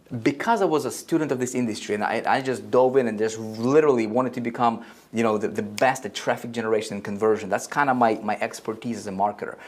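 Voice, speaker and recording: Speaking at a very fast pace with hardly any pauses, a man uses a medium pitch and ordinary pitch variation. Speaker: online marketing trainer. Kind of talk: seminar presentation at whiteboard. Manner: animated, repetitive.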